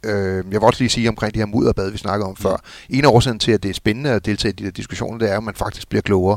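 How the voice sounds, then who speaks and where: Fairly low-pitched male voice with fairly even intonation. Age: middle-aged. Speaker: former football club executive. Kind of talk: casual chat. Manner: halting.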